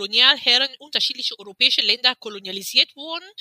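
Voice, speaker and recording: A woman speaks with ordinary variation in her pitch. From Cameroon. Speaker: activist and publisher. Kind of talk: interview.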